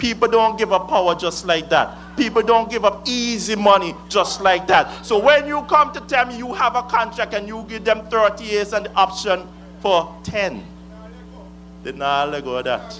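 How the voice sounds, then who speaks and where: A man with an Antiguan accent speaks at a moderate pace in a high voice, his intonation lively. His loudness swings widely, and music plays in the background. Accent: Antiguan Caribbean English. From Antigua and Barbuda. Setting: rally stage with audience. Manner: fiery, accusatory, declamatory with call-and-response pauses.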